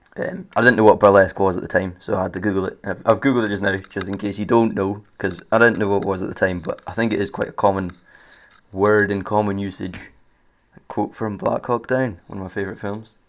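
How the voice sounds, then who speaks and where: Talking at a very fast pace, a man keeps a fairly low pitch and fairly even intonation. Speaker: podcast host. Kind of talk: casual storytelling monologue. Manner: halting, many fillers.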